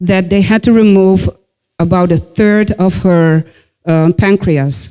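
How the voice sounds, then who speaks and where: At a fairly slow pace, a woman speaks with a medium pitch, a dark, mellow tone and ordinary pitch variation. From Netherlands, Dutch Caribbean roots. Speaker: speaker on racial bias in health care. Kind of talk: talk to an audience. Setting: auditorium with audience.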